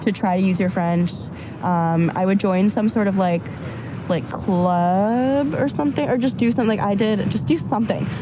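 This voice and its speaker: Over noticeable background noise, a woman with an American accent and medium pitch talks at a moderate pace with ordinary pitch variation. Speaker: university student. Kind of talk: casual chat. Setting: outdoors on a park bench.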